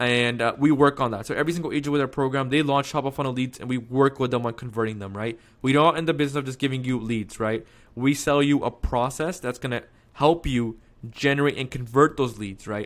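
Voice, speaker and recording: Very fast speech comes from a man at medium pitch with fairly even intonation. The recording is very clean, with a silent background. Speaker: real estate marketing coach. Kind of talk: sales pitch tutorial. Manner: casual, filler-heavy.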